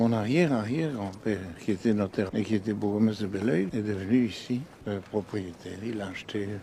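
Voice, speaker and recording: A man speaks at a fairly low pitch with a dark, mellow tone. His pace is moderate and his pitch varies in an ordinary way. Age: 70s. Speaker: senator and businessman. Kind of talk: documentary interview.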